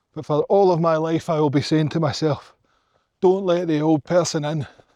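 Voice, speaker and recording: A man with a Glaswegian accent and a fairly high pitch speaks at a moderate pace in a dark, mellow tone. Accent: Glaswegian Scottish. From Scotland, Glasgow. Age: 40s. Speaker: hiking vlogger. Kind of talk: casual vlog monologue. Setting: outdoors on a mountain hike. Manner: animated.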